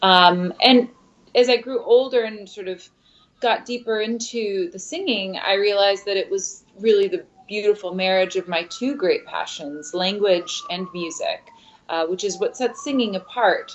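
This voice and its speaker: A woman with a medium-pitched voice talks at a moderate pace, her pitch varying in an ordinary way. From US Midwest, Michigan (Midland, Ypsilanti), part of childhood in Mexico. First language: Spanish. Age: young. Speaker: opera singer. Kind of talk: interview. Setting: studio.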